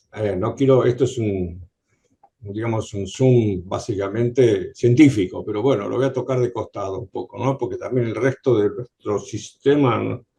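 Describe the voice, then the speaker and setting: This man has a dark, mellow, somewhat breathy tone at medium pitch. He talks at a moderate pace with ordinary pitch variation. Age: 70s. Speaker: patient. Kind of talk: audience question. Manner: halting.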